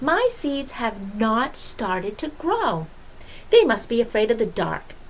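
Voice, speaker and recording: Fairly slow delivery in a put-on character voice, clear background noise behind it. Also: woman, fairly high pitch for a woman. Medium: read story. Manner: excitable, whiny.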